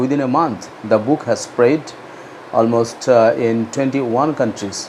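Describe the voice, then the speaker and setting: With a Bengali accent, a man speaks at a moderate pace and medium pitch, showing ordinary pitch variation against noticeable background noise. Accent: Indian English, Bengali. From India, West Bengal. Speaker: author. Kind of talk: book promotion talk. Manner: halting, many fillers.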